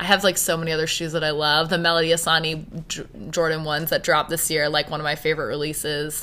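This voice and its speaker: On a very clean recording with a silent background, a woman with a Maritime Canadian accent speaks fairly quickly at a very deep, low pitch, her tone bright and sharp and her intonation monotone and flat. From Halifax, Nova Scotia, Canada. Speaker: business owner. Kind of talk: interview.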